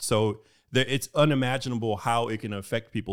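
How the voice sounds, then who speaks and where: A man with a plain, everyday voice and an American accent speaks at medium pitch and a moderate pace, with ordinary pitch variation, in a very clean recording with a silent background. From Houston, Texas. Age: 40s. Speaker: financial educator and army veteran. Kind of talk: interview.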